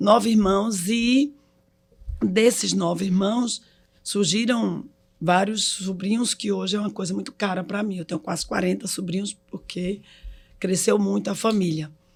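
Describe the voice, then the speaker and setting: A somewhat breathy woman's voice at medium pitch, with ordinary pitch variation and a fairly slow pace. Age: 60s. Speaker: hospital executive. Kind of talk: casual chat.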